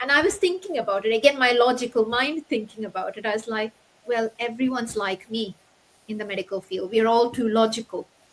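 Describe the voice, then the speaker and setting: A woman with a non-native accent speaks fairly quickly in a fairly high pitch, with ordinary pitch variation. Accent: foreign. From Middle East. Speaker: doctor turned online entrepreneur. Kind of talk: interview. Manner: halting.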